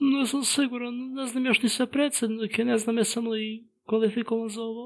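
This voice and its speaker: Pitched fairly high, this put-on character voice keeps a monotone, flat intonation. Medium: dub. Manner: innocent, confused.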